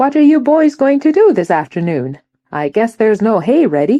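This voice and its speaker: A put-on character voice, female-sounding and fairly high, with very wide pitch swings at a moderate pace. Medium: read story. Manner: bright, cheerful.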